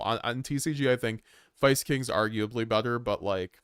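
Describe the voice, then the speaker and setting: A man speaks at a fairly quick pace in a normal speaking voice, his pitch medium with ordinary variation. The sound is dry and close, with no echo. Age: 20s. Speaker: gaming streamer. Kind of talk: casual livestream chat. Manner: casual, rambling with fillers.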